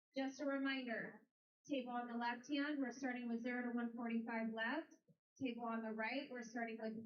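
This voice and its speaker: A loud woman with a high pitch talks at a moderate pace in a flat, monotone intonation, with audible room echo. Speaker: tournament announcer. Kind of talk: event announcements.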